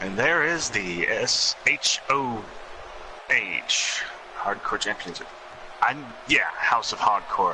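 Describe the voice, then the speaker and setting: Over noticeable background noise, a man talks at a very slow pace with long, frequent pauses. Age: 20s. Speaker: wrestling game commentator. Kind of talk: live commentary.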